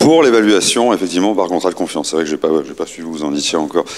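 Lively intonation marks this man's speech. He talks at a very fast pace. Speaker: education advisor; event host or moderator. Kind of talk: brief announcement. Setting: lecture hall with audience. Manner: halting. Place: hall. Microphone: handheld.

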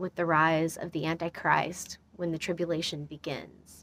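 A woman with an American accent speaks at a moderate pace and a fairly low pitch. The sound is dry, with no echo. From US Midwest, Iowa. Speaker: Bible study host, YouTuber. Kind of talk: casual Bible study livestream. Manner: halting, with fillers. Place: open country. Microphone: phone near.

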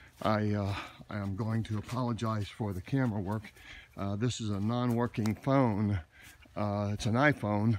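A man's ordinary speaking voice, fairly low in pitch, at a moderate pace with fairly even intonation over light background noise. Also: dry sound with no echo. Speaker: videographer. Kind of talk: casual chat. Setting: outdoors. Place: forest. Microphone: phone near.

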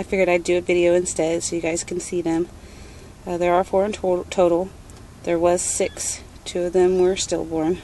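A woman speaks with monotone, flat intonation in a dry sound with no echo, over light background noise. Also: moderate pace. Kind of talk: casual vlog chat. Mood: happy, tender. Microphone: phone near.

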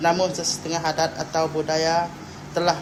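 In a Sarawak accent, a woman with a very deep, low pitch speaks in a flat monotone over noticeable background noise. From Sarawak, Malaysia (Iban longhouse village). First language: Iban (speaking Malay). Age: 50s. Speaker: longhouse chief. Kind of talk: interview answers. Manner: halting.

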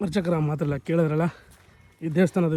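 This man has a high-pitched voice with a dark, mellow tone. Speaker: travel vlogger. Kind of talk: travel vlog narration.

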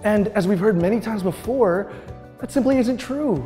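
Faint music plays behind a man speaking at a high pitch. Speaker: presenter. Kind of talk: casual talk to camera, scripted youth message. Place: classroom. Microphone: lapel.

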